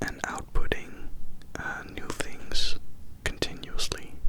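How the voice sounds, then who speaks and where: A man whispers at a very slow pace against noticeable background noise. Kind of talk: ASMR update talk to camera. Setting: binaural recording. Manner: whispered; slow, slightly woozy.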